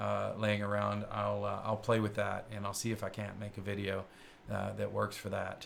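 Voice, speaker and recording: A man with a slight Kentucky accent talks at a moderate pace. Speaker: tech show host. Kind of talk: live-streamed show chat. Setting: studio. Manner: hesitant with many fillers.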